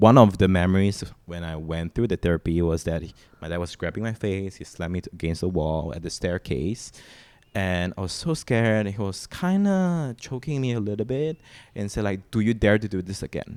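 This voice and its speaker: A man with a Mandarin accent, fairly low in pitch, at a moderate pace with big swings in loudness. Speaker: singer-songwriter. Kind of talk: emotional interview conversation. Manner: halting.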